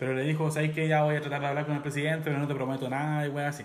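A man's fairly high-pitched, very fast speech in a Chilean accent, with audible room echo and music in the background. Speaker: podcast host. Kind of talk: casual chat.

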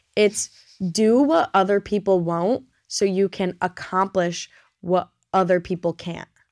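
Heard on a very clean recording with a silent background, a normal speaking voice goes at a fairly slow pace. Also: woman, medium pitch for a woman, fairly even intonation, dry, close sound with no echo. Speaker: podcast host, college student. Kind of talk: casual chat.

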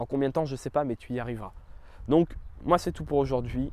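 A man's medium-pitched voice with a dark, mellow tone, on a very clean recording against a silent background. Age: 20s. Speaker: YouTube coach podcaster. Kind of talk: solo podcast monologue. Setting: outdoors in a park. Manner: animated.

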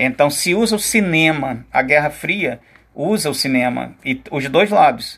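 Over a quiet background, a man with a fairly high voice and vocal fry swings very widely in pitch. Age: 50s. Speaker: teacher. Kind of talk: lecture.

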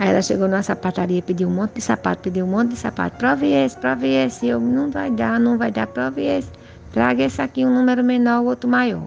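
A woman speaks at a fairly quick pace in a very deep, low pitch, her pitch swinging very widely. Music plays in the background. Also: very even loudness. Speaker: family member sharing memories. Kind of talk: personal storytelling interview.

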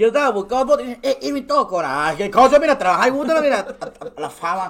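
There is noticeable background noise behind a man's voice. He talks at a moderate pace with lively intonation. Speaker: content creator. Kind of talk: casual chat.

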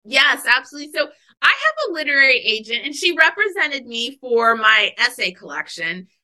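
Her raised, projected voice sits high in pitch, and the woman moves quickly through very wide pitch swings. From Alaska, US. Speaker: author. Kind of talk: interview.

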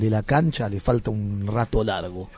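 With music in the background, a man speaks at a fairly low pitch. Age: 50s. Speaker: visual artist. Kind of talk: casual chat.

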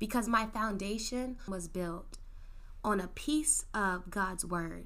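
Against audible room echo, a woman sounds animated, her fairly high voice showing ordinary pitch variation. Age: 20s. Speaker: solo podcast host. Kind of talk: casual monologue. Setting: home studio in bedroom.

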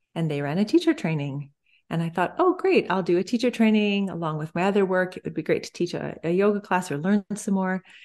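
A woman with a Canadian accent speaks in an ordinary speaking voice at medium pitch. Her pace is fairly quick, her pitch varies normally, and the background is quiet. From Canada. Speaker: breathing therapist and yoga instructor. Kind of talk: interview.

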